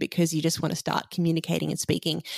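On a very clean recording with a silent background, a woman talks in an Australian accent. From Sydney, Australia. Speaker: musician. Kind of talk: interview.

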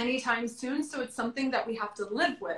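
A woman speaks with an American accent and ordinary pitch variation. Noticeable background noise runs under her voice. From South Florida suburbs. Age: 30s. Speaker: fashion influencer. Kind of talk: casual chat. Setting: live stream from home.

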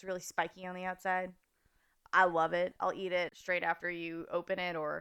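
Her fairly low voice carries an American accent and fairly even intonation at a moderate pace. This woman has a plain, everyday voice. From Fresno, California. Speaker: food blogger and podcast host. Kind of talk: casual interview chat.

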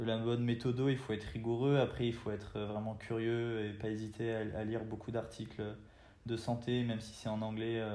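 A man's medium-pitched, flat monotone at a fairly slow pace, with audible room echo. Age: 20s. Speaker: university student. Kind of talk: interview. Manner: hesitant, with fillers and repetitions.

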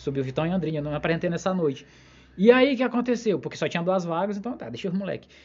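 A man's high-pitched voice at a very fast pace, full of lively intonation. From interior of Maranhão, Brazil. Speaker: podcast host and stand-up comedian. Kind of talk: casual chat.

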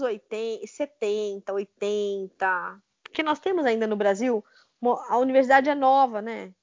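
With lively intonation, a woman speaks in an unremarkable speaking voice at a fairly high pitch. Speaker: author and linguist. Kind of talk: interview conversation. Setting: Skype call.

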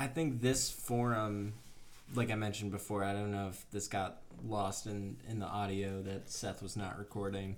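Fairly low in pitch, a man with an American accent and an ordinary speaking voice talks at a moderate pace with fairly even intonation. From Bethlehem, Pennsylvania. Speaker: podcast co-host. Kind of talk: casual chat.

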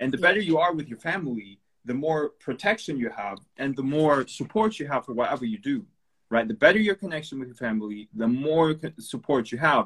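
A man's fairly high, lively voice at a fairly quick pace. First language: not English. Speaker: Instagram live host. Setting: Instagram live video.

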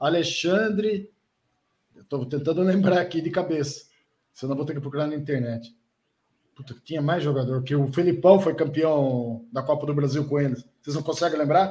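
This man's fairly high, somewhat breathy voice has a dark, mellow tone and ordinary pitch variation, broken by long, frequent pauses. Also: moderate pace. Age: 40s. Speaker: regional football reporter. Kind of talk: casual chat.

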